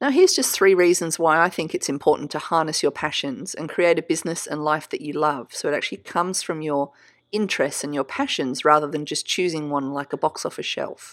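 In a very clean recording with a silent background, a woman with a very deep, low pitch and an Australian accent talks at a fairly quick pace with hardly any pauses and ordinary pitch variation. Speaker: podcast host and creative business coach. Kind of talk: solo podcast teaching monologue.

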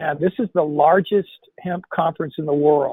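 It's a normal speaking voice at a moderate pace with fairly even intonation. The sound is dry and close, with no echo. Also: man. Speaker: webinar host. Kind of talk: webinar intro and announcements.

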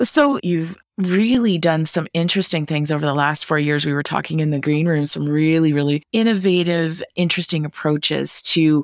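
Very deep, low female voice with fairly even intonation, very clean recording, silent background. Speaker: podcast host. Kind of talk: interview conversation.

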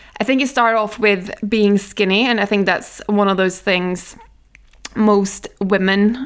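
A woman with a Norwegian accent speaks at a fairly slow pace with very even loudness. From Norway. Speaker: nutritionist, podcast host. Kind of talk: solo podcast monologue. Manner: casual, chatty.

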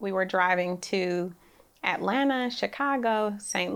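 On a very clean recording with a silent background, a woman with an American accent uses a normal speaking voice at medium pitch with ordinary pitch variation. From Oakland, California. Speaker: real estate developer. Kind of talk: interview. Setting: studio. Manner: soft-spoken.

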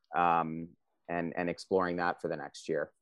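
A man with a very deep, low voice and an East Coast US accent speaks at a very slow pace, the sound dry and close with no echo. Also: quiet background. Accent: American East Coast. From US East Coast (DC metro area, New Jersey). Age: 30s. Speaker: course student on career break. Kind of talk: interview. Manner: halting, many fillers.

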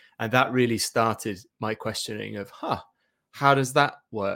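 This man speaks at a fairly slow pace in a medium pitch. His tone is bright and sharp. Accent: East Anglian. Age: 40s. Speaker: SEO agency director. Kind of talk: interview.

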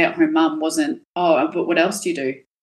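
A woman with an Australian accent, at a moderate pace. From Perth, Western Australia. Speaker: cosmetic tattoo artist. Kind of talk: casual chat.

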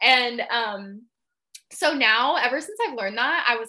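On a very clean recording with a silent background, a woman with a West Coast US accent and a fairly high pitch speaks at a moderate pace, her tone bright and sharp and her pitch variation ordinary. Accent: General American, West Coast. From Seattle, US Pacific Northwest. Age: 20s. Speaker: holistic health coach and yoga instructor. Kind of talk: casual interview chat.

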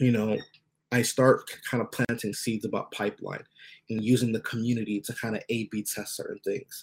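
A man with an American accent at a medium pitch, fairly quick pace and fairly even intonation, on a very clean recording with a silent background. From US, Nigerian family. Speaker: animation community founder. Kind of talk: interview.

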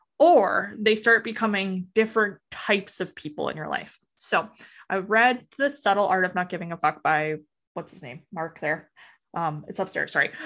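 A woman with a Canadian accent talks at a moderate pace in a plain, everyday voice of medium pitch, with lively intonation and big swings in loudness, over a quiet background. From Western Canada, Alberta. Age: 30s. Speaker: real estate agent, former youth worker. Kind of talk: casual interview chat.

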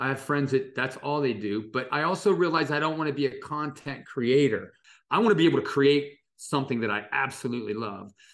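A man speaks with an American accent at a fairly quick pace, his pitch fairly high. His tone is animated, with ordinary pitch variation. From US Midwest, Dayton, Ohio. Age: 60s. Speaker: illustrator. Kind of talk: interview conversation.

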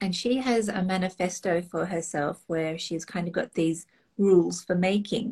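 Somewhat breathy and dark, mellow in tone, a woman with an Australian accent talks at a moderate pace and medium pitch with ordinary pitch variation. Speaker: online retreat host. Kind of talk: casual interview chat.

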